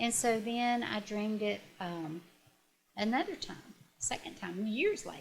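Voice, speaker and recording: Somewhat breathy, a woman's voice rests at a fairly high pitch. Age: 60s. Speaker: retired teacher and guest sharing grief story. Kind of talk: interview testimony. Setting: on-location video interview. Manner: halting, with frequent fillers and restarts.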